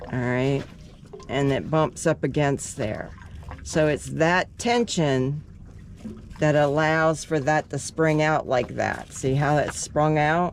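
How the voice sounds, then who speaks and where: At a very slow pace, a woman speaks in a very deep, low voice with ordinary pitch variation and very even loudness. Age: 70s. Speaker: DIY sailor. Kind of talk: tutorial. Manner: casual, halting with fillers.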